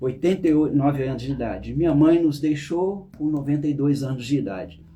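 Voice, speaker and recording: Somewhat breathy and fairly high-pitched, a man speaks at a moderate pace with ordinary pitch variation. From Brazil, interior of Rio de Janeiro state. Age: 60s. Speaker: therapist. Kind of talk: personal testimony. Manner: halting, with self-corrections.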